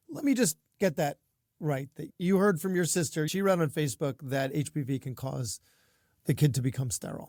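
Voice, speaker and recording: In a put-on character voice, a man speaks raspy and fairly high at a fairly quick pace, with lively intonation and a dry, close sound with no echo. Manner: incredulous, doubting.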